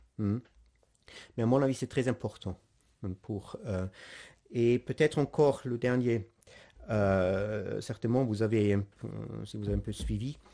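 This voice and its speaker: A man's medium-pitched voice with a non-native accent and a dark, mellow tone, fairly slow with long, frequent pauses, over a quiet background. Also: ordinary pitch variation. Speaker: priest giving catechesis. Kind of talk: lecture. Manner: halting, many hesitations.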